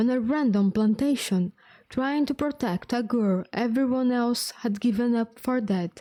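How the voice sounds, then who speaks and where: A woman with a non-native accent speaks at a fairly slow pace in a high pitch with a dark, mellow tone, on a very clean recording with a silent background. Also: ordinary pitch variation, very even loudness. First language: not English. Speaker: vtuber streamer. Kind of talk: reading aloud.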